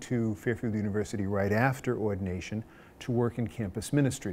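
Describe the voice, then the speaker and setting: A man with an American accent speaks in a normal speaking voice, his pitch fairly low and his pitch variation ordinary. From Long Island, New York. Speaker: Jesuit priest. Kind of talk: interview answer.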